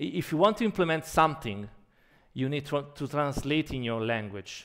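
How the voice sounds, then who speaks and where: In a strong Italian accent, a man with a fairly high voice speaks at a moderate pace with lively intonation, in a very clean recording with a silent background. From Italy. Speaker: anesthesiologist and emergency physician. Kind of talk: conference keynote. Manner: halting.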